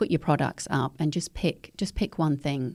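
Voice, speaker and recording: In an Australian accent, a woman speaks at a moderate pace with a very deep, low pitch and a dark, mellow tone on a very clean recording with a silent background. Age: 50s. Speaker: eco educator. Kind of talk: podcast interview.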